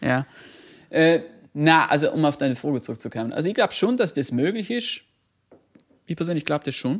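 Over a quiet background, a man with a fairly high pitch talks fairly quickly, his pitch swinging very widely between long, frequent pauses. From not South Tyrol. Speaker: podcast co-host. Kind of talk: casual chat.

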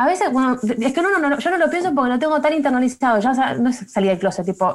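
A woman with a Rioplatense accent speaks in a high voice. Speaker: communications professional. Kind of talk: casual chat.

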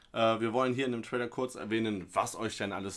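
A man speaks in a plain, everyday voice at medium pitch with fairly even intonation, recorded very cleanly against a silent background. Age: 30s. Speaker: football podcast host. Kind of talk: casual chat.

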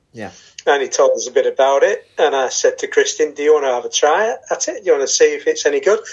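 A man talks at a very fast pace. He has a northern English accent. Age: 50s. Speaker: martial arts student. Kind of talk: casual chat.

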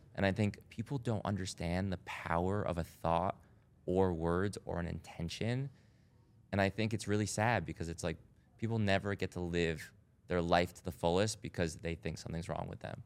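In an American accent, a man with a very deep, low pitch speaks at a moderate pace. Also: ordinary pitch variation. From US Northeast, Rhode Island. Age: 30s. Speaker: doctor and wellness club founder. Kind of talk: casual chat. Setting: studio.

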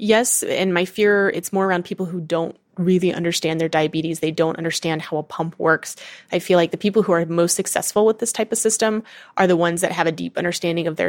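In a normal speaking voice, a woman talks at a fairly quick pace with a fairly low pitch and fairly even intonation, on a very clean recording with a silent background. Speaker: person with type 1 diabetes. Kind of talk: interview recording.

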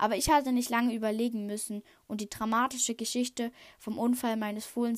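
The intonation holds fairly even. The reading voice is unforced.

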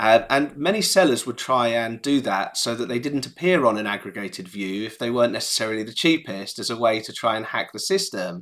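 A man with a medium pitch talks at a fairly quick pace with hardly any pauses. His intonation is lively, and the recording is very clean with a silent background. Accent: English. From England. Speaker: startup founder and CEO. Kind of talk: interview.

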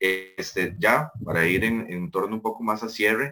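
Using an unremarkable speaking voice, a man delivers his words at a moderate pace and with ordinary pitch variation. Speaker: student association president, podcast host. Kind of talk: podcast interview.

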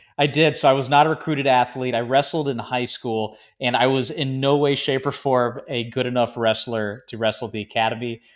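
A man with an American accent, an ordinary speaking voice and fairly even intonation, on a very clean recording with a silent background. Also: medium pitch for a man, hardly any pauses. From US South, Georgia. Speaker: air force pilot. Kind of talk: interview.

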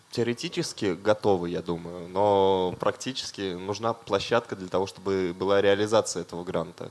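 A plain, everyday voice at a moderate pace with fairly even intonation and hardly any pauses, recorded very cleanly against a silent background. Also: man, fairly low pitch for a man. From Russia, Dimitrovgrad. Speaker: concert organizer. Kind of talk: casual chat.

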